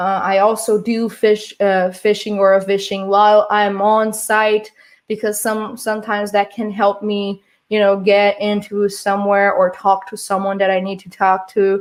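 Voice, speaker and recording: Speaking at a moderate pace, a woman uses a medium pitch with monotone, flat intonation. She has a non-native accent. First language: not English. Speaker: security conference speaker, penetration tester. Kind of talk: conference talk. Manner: halting, many fillers and restarts.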